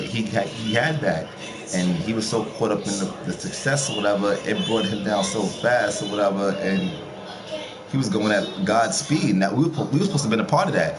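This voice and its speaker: Against noticeable background noise and audible room echo, a man talks at a fairly quick pace in a fairly low pitch with lively intonation. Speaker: streamer talking to viewers. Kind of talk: casual monologue. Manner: fast.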